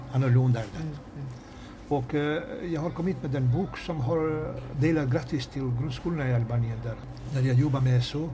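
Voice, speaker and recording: Moderate pace and fairly even intonation, with audible room echo and noticeable background noise. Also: man, medium pitch for a man. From Kosovo. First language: Albanian (speaking Swedish). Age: 60s. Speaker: teacher and author. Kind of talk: interview. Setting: railway café. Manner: halting.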